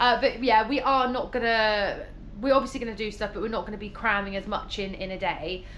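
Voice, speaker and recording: Audible room echo surrounds a woman with an English accent who speaks at a fairly quick pace in a fairly high pitch with fairly even intonation. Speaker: travel vlogger. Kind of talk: casual vlog talk to camera.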